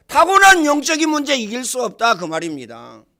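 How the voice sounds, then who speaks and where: A man's raised, projected voice, bright and sharp, animated in tone, with very wide pitch swings at a fairly slow pace. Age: 60s. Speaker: pastor. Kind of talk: sermon.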